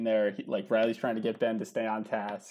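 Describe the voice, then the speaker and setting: A normal speaking voice. The pace is moderate. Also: man. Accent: American. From New Jersey. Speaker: podcast guest, movie fan. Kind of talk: casual chat.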